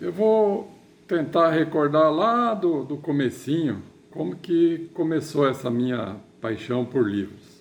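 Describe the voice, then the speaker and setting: Speaking at a very slow pace, a man uses a fairly high pitch with very wide pitch swings. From southern Brazil (Rio Grande do Sul / western Paraná). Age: 60s. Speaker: writer. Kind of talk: personal storytelling to camera. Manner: halting, with repeated words.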